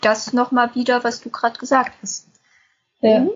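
A woman is speaking. Her pitch is high. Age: 20s. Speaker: lupus patient and self-help group volunteer. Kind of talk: casual podcast conversation.

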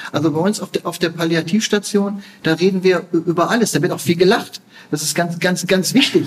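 This man has a high pitch and fairly even intonation. His pace is fairly quick. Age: 50s. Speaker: palliative care physician. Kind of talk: interview. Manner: halting, repeats words.

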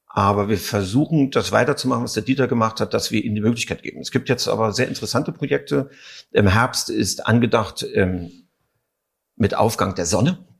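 Recorded very cleanly with a silent background, a man speaks fairly quickly at a medium pitch, somewhat breathy and with lively intonation. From East Berlin. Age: 50s. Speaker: actor and theatre director. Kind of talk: interview.

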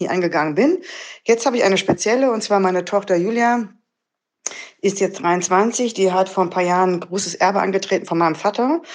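Here a woman talks at a fairly quick pace. Her pitch shows ordinary variation. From Krefeld, Lower Rhine, western Germany. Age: 50s. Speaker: listener calling in with a question. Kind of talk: recorded voice message. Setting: messaging-app voice message.

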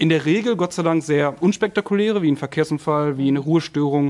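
A man talks at a fairly quick pace in an ordinary speaking voice. His pitch is fairly high, with ordinary pitch variation. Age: 30s. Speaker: police officer and recruiter. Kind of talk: casual chat.

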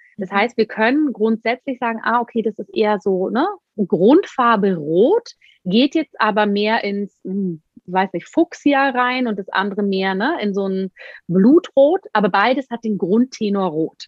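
A woman with a plain, everyday voice, lively intonation and a fairly slow pace. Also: fairly high pitch for a woman. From Bavaria, Germany. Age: 30s. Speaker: Ayurveda expert. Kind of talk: interview.

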